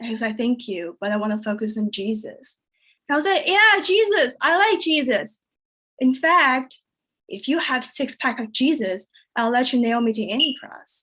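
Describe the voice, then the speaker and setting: At a moderate pace, a woman with a Chinese accent projects a raised voice, her high pitch bright and sharp in tone and swinging very widely. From China. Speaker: comedian. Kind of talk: stand-up.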